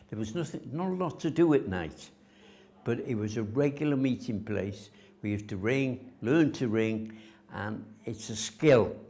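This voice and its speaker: In a North Welsh accent, the speaker talks at a moderate pace with lively intonation. The tone is dark and mellow. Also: man, medium pitch for a man. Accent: north Wales English. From north Wales, Rhuddlan. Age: 80s+. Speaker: local resident sharing heritage memories. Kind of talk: oral history interview. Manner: halting, with frequent fillers.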